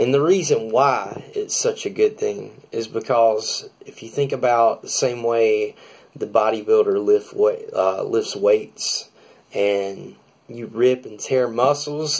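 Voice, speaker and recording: With a Southern US accent, a man talks at a fairly slow pace, his loudness swinging widely. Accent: American country. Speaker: drummer. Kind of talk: casual talk to camera, vlog.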